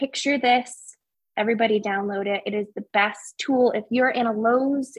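A woman with an American accent, fairly high pitch, fairly even intonation and an ordinary speaking voice. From upstate New York. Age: 20s. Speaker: plant enthusiast and home-design guest. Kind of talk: casual chat.

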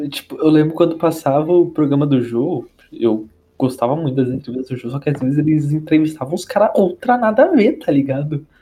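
This man has a fairly high pitch and a plain, everyday voice. His intonation is lively and his pace fairly quick. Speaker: podcast co-host, university student. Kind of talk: casual chat.

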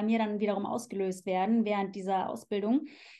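A woman's dark, mellow voice at a fairly quick pace over a quiet background. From Germany, Cologne. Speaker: sexologist. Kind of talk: casual interview.

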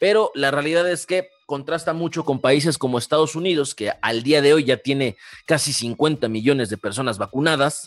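With a Mexican accent, a man speaks at a fairly high pitch and a moderate pace, with ordinary pitch variation and hardly any pauses, in a dry, close sound with no echo. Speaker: podcast co-host. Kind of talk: casual chat.

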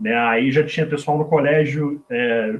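A man speaks in a normal speaking voice, fairly high in pitch, at a moderate pace. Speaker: former American football quarterback and game commentator. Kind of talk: casual chat.

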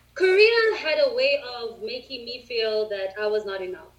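A woman speaks fairly slowly while noticeable background noise is present. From South Africa. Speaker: English teacher. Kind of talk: casual chat. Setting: video call.

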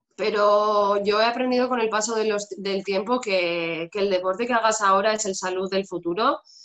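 A woman has a plain, everyday voice at a medium pitch, talking at a moderate pace with fairly even intonation and hardly any pauses. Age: 30s. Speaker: fitness instructor. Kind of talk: interview.

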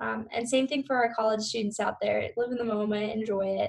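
This woman talks at a middling tempo. Her pitch is high. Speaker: podcast co-host, student. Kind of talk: casual interview.

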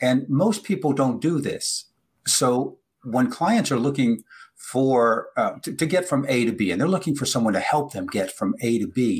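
Somewhat breathy, a man talks at a moderate pace with lively intonation and a fairly high pitch. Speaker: podcast host. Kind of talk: casual interview. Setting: video call.

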